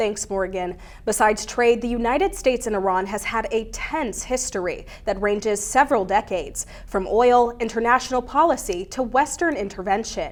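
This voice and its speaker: Speaking with lively intonation and a fairly high pitch, a woman with a plain, everyday voice keeps a moderate pace. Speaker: news reporter and anchor. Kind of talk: TV news anchoring.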